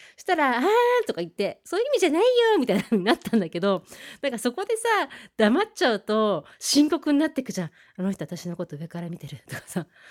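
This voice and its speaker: Speaking at a very fast pace, a woman's fairly high voice makes very wide pitch swings and big swings in loudness, dry and close with no echo on a very clean recording with a silent background. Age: 30s. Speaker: internet radio host. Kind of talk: radio monologue reading listener mail.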